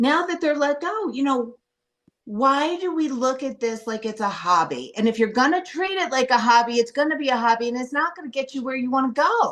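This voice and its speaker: Loud and animated, a woman speaks at a high pitch. Her pace is fairly quick. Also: lively intonation. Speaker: coaching program participant. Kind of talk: personal sharing in group call.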